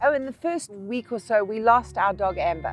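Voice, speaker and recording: The speech moves at a moderate pace with music in the background. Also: woman. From South Africa. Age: 50s. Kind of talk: travel vlog narration.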